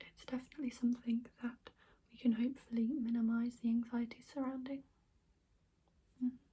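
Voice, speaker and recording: Soft-spoken and fairly quick, a woman talks in a high-pitched, gentle, dark, mellow tone with monotone, flat intonation, long, frequent pauses and big swings in loudness. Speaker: ASMR creator playing an alternative therapist. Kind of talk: ASMR role-play, personal attention. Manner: soft-spoken, gentle. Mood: calm, reassuring. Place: home room. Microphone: phone near.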